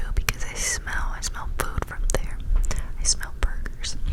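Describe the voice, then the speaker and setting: Noticeable background noise fills the recording. Over it, a voice whispers. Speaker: ASMR creator. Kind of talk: improvised bedtime story. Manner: whispered, soft-spoken.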